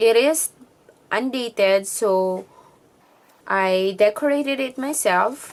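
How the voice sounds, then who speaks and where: Delivered at a very slow pace with long, frequent pauses, the speech has lively intonation and a non-native accent. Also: woman, fairly high pitch for a woman. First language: not English. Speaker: planner vlogger. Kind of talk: tutorial. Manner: casual.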